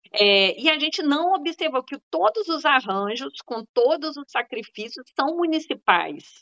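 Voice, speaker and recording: At a fairly slow pace, a woman speaks with a high pitch and hardly any pauses. Her pitch swings very widely. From Zona da Mata, Minas Gerais. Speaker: health researcher and professor. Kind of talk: panel discussion.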